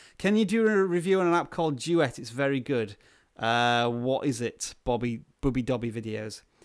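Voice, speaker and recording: A man with a British accent and a medium-pitched voice is heard on a very clean recording with a silent background. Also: lively intonation, moderate pace. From UK. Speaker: YouTuber, tech video creator. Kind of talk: live stream Q&A reading chat. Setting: solo live stream. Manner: casual, hesitant with fillers.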